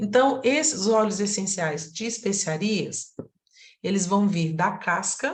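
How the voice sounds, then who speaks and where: Very slowly, a woman talks with lively intonation at a medium pitch. Her voice is somewhat breathy. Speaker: aromatherapy teacher. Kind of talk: online lecture.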